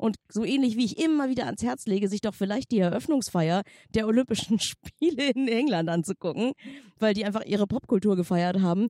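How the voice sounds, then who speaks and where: A woman's fairly high, dark and mellow voice at a fairly quick pace, with lively intonation, in a dry, close recording with no echo. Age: 40s. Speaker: podcast co-host. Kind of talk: casual chat. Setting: outdoors on a bench by the sea.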